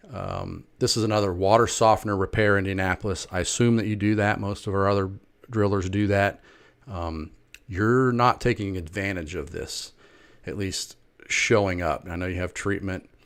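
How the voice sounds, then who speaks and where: A man's plain, everyday voice, fairly low in pitch, with fairly even intonation at a moderate pace on a very clean recording with a silent background. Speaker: marketing consultant. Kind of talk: sales pitch. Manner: casual.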